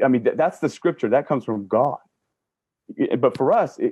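A man with an American accent at a very fast pace, dry with no echo, over a quiet background. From US Southwest, Navajo and Ute; US Southwest. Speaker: panel guest; guest. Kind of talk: panel discussion. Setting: video call. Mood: earnest, reflective. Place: home room. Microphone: video call.

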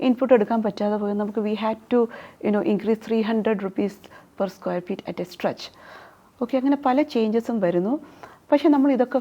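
A woman with a dark, mellow tone speaks at a fairly high pitch with ordinary pitch variation. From Hyderabad, India, then Thiruvananthapuram. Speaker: real estate developer. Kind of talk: interview.

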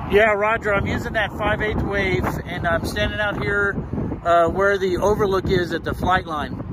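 A high-pitched man with an American accent speaks at a moderate pace in a monotone, flat delivery, the sound dry with no echo and loud background noise behind him. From Texas, San Antonio; Texas. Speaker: ham radio hobbyist YouTuber. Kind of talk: casual vlog and two-way radio field test. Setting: driving in a car; outdoors at an overlook. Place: open country. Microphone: phone near.

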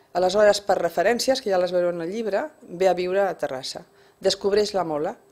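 A woman with a Spanish accent speaks at a medium pitch. Her pace is moderate, with ordinary pitch variation. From Barcelona (Sant Andreu), Catalonia; Catalonia, Spain. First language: Spanish (speaking Catalan). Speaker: first-time novelist, retired bank worker; interviewee. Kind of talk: radio interview. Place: studio. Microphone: studio mic.

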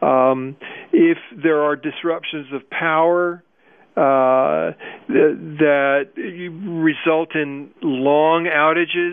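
This man has an American accent and a fairly high pitch, with fairly even intonation. He speaks at a very slow pace, leaving long, frequent pauses. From US Midwest. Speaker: anti-nuclear activist. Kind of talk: radio interview.

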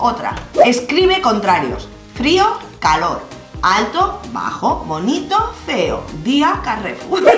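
Faint music plays in the background as a woman with a high pitch speaks at a very slow pace amid audible room echo. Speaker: co-host of a reaction channel. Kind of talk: casual reaction commentary. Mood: amused, laughing. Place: home room.

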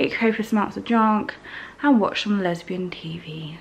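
Ordinary pitch variation comes through over light background noise. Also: woman. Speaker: travel vlogger. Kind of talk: casual vlog chat. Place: home room. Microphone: phone near.

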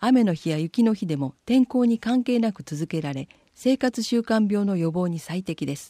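A woman with a medium pitch and a dark, mellow tone speaks at a moderate pace with very wide pitch swings, in a very clean recording with a silent background. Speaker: municipal newsletter reader. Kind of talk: reading aloud.

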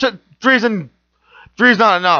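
A man speaks in a raised, projected voice with a bright, sharp, excited tone. The background is quiet. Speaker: wrestling commentator. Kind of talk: wrestling match commentary. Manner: fast, excited.

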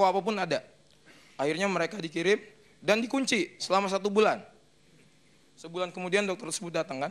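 A man with a high pitch and a fairly bright tone talks at a fast pace, using ordinary pitch variation. He leaves long, frequent pauses.

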